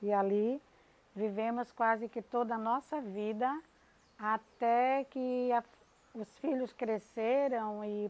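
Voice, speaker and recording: Her pitch fairly high, a woman speaks at a very slow pace with ordinary pitch variation. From Brazil, Bahia (Camaçari). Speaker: teacher. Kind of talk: personal testimony.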